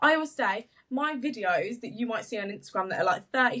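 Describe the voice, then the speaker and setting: A woman with a bright, sharp tone, lively intonation and a very fast pace. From English Midlands. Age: 20s. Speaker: social media business owner. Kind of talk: podcast interview. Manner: stumbles on words.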